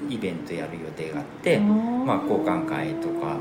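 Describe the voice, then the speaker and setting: A man at a moderate pace with very wide pitch swings, audible room echo and music in the background. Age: 50s. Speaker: seed specialist and former cook. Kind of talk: casual chat.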